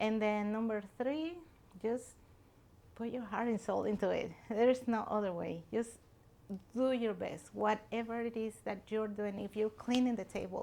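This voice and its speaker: A woman's fairly high voice with a dark, mellow tone, fairly even intonation, a Mexican accent and a moderate pace. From Mexico. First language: Spanish. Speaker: restaurant owner. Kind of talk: interview. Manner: earnest.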